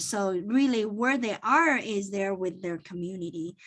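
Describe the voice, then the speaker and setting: A woman with a Chinese accent speaks at a moderate pace with ordinary pitch variation. The background is quiet. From born in China, grew up partly in Toronto. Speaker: accountant and business owner. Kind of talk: interview.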